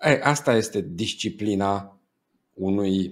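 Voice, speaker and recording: Over a quiet background, a man speaks very slowly. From Romania. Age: 40s. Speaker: business coach. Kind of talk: interview. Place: home room. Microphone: earbuds.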